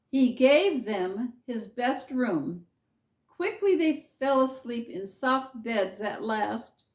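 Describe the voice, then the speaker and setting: A woman speaks in a high voice with lively, bouncing intonation. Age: 80s+. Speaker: children's storyteller. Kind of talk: reading aloud.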